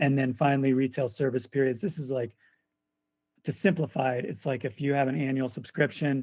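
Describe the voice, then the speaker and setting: In a very clean recording with a silent background, a man speaks at medium pitch. His pace is fairly quick and his intonation fairly even. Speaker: product manager presenting roadmap. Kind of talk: internal company presentation. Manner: fast; hesitant, many fillers.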